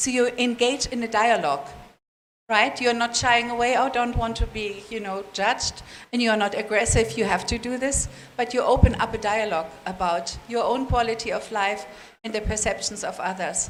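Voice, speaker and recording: A woman with a non-native accent speaks in a fairly high voice with ordinary pitch variation. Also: moderate pace. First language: not English. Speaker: international seminar speaker. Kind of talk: question and answer session.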